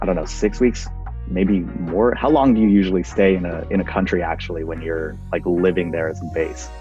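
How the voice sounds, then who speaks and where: Lively intonation and a fairly quick pace come through over background music. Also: man, very deep, low pitch for a man. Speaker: interview host. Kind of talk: interview questions.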